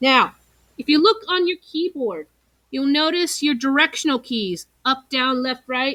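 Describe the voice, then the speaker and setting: A woman projects a raised voice, high and bright, with a sharp tone and lively intonation at a fairly slow pace. The sound is dry and close, with no echo. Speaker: teacher. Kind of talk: tutorial.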